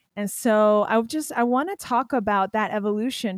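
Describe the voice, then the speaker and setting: This woman has an ordinary speaking voice with an American accent. Her pitch is fairly high with ordinary variation, and her pace is moderate. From Pennsylvania. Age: 30s. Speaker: podcast host. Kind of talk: casual interview chat. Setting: podcast recording.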